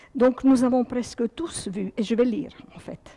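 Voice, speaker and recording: A woman speaks at a moderate pace. Her voice is fairly high. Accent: Serbo-Croatian. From former Yugoslavia. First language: Serbo-Croatian (speaking French). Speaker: guest speaker. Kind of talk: reading aloud; lecture.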